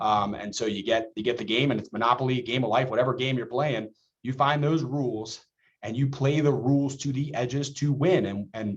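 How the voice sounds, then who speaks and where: A man with an ordinary speaking voice, medium in pitch, at a fairly quick pace. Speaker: school nutrition director. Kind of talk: webinar presentation. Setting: video call.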